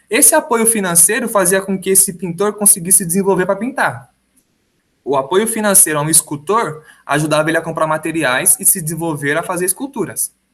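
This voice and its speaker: Over music in the background, a man with a high pitch speaks at a moderate pace with lively intonation. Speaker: high school history teacher. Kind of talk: recorded lecture. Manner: casual, conversational.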